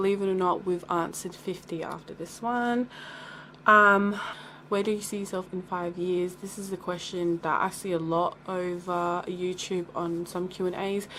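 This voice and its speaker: Speaking at a moderate pace, a woman uses a medium pitch with monotone, flat intonation and a bright, sharp tone. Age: 20s. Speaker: beauty vlogger. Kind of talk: casual Q&A vlog. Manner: chatty.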